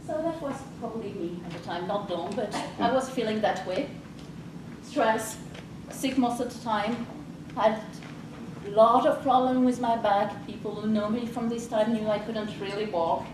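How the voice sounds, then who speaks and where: A woman's fairly high voice at a moderate pace, with long, frequent pauses, ordinary pitch variation, noticeable background noise and audible room echo. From France. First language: French. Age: 40s. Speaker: life coach. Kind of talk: presentation.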